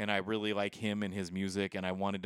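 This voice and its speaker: This man has a normal speaking voice, fairly low in pitch and moving at a fairly quick pace. The recording is very clean with a silent background, and the sound is dry and close with no echo. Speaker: podcast co-host. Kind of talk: casual chat. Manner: frequent filler words, relaxed.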